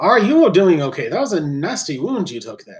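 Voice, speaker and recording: A man puts on a squeaky character voice at a high pitch, with very wide pitch swings at a moderate pace. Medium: actual play. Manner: squeaky interjections, polite.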